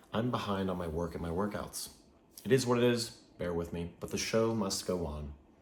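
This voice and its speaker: A man's very deep, low voice comes with noticeable background noise and audible room echo. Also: ordinary pitch variation, fairly quick pace. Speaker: fitness and wellness video creator. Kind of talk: talking-head video monologue.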